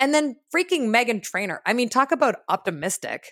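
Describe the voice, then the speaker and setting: A woman with a warm, enthusiastic tone, very wide pitch swings and a moderate pace, in a dry, close sound with no echo on a very clean recording with a silent background. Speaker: podcast host. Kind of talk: podcast interview, conversational. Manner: warm, enthusiastic, hesitant with filler words.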